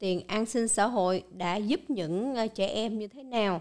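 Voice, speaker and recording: The background is quiet as a woman talks at a fairly slow pace. Her fairly high voice shows ordinary pitch variation. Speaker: channel host presenting news and explainers. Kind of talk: scripted-style monologue explainer. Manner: formal, polite address to viewers. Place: studio. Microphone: studio mic.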